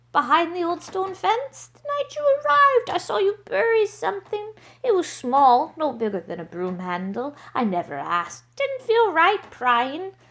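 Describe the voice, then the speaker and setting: A woman's put-on character voice at an extremely high pitch, moderate in pace with hardly any pauses. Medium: read story.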